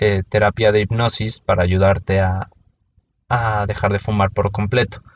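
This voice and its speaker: A man's fairly low voice at a fairly slow pace, with a Mexico City accent. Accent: Mexican Spanish (Mexico City). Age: 30s. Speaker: podcast host. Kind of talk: personal monologue. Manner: casual, with many fillers.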